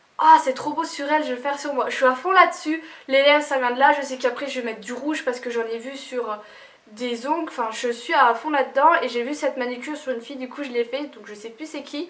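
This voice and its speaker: At a very fast pace, a woman speaks in a high voice with ordinary pitch variation and big swings in loudness. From Lorraine, France. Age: 20s. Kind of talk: casual talk to camera.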